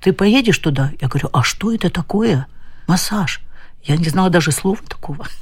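A woman's somewhat breathy voice, fairly low in pitch, with lively intonation and a moderate pace. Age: 70s. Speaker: visually impaired doctor. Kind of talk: interview.

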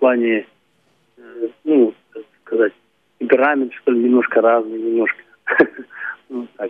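Long, frequent pauses break up a man's speech, delivered at medium pitch in a monotone, flat intonation with big swings in loudness. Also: fairly slow pace. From Kalmykia. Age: 50s. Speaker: folk singer. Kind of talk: phone interview.

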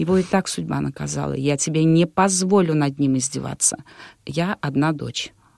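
A woman speaks at a moderate pace, her voice dry and close with no echo. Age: middle-aged. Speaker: wedding and event host. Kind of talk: interview.

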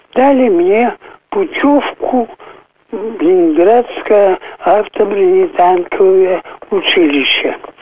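A man's high voice at a very slow pace, with very wide pitch swings. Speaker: war veteran. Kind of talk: interview. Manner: halting.

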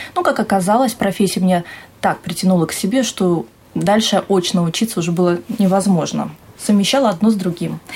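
In an unremarkable speaking voice, a woman talks at a fairly quick pace with medium pitch, ordinary pitch variation and very even loudness. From Siberia, Russia (Tara, Omsk region). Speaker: TV journalist and presenter. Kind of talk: interview. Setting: TV channel office.

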